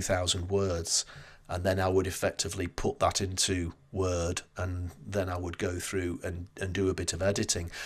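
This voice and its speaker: In a Northern English accent, a man talks at a moderate pace with a very deep, low pitch and monotone, flat intonation. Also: very clean recording, silent background. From northern England. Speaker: marketing strategist and book author. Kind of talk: interview conversation. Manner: hesitant with repeated words.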